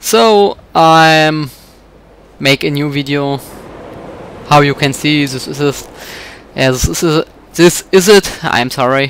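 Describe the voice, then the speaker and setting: A man with a German accent speaks at a very slow pace, leaving long, frequent pauses. His pitch is fairly high, with ordinary pitch variation. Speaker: gamer playing a video game. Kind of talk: let's play commentary. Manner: halting.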